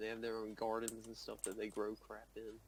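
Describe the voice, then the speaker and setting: Speaking at a very fast pace, a man with a medium pitch talks with a Southern US accent. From US South. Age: young. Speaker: student gamer. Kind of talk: casual chat.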